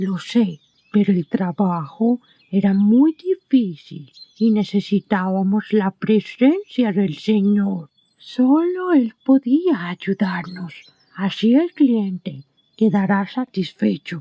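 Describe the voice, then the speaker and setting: A female-sounding, put-on character voice at a very slow pace. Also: medium pitch for a woman. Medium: audio drama.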